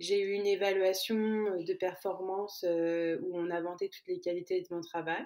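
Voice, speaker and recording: Medium pitch and fairly even intonation from a woman. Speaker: podcast guest, immigrant. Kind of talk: personal testimony interview.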